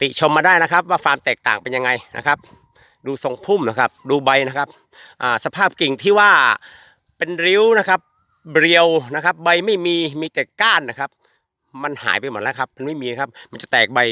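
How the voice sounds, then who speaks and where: A man's unremarkable speaking voice, fairly high in pitch, with lively intonation and a dry, close sound with no echo. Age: 50s. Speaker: durian farmer promoting fertilizer. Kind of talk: product testimonial video. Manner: repetitive, informal.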